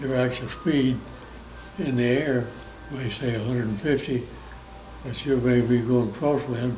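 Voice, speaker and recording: A man with an American accent, medium pitch and flat, monotone intonation, over music in the background. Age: 80s+. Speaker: war veteran. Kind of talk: interview answer.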